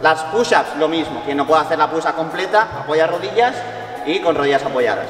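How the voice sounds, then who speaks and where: The man talks at a fairly quick pace. Audible room echo and faint music in the background come through. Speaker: fitness coach vlogger. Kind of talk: casual vlog chat and workout explanation. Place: gym.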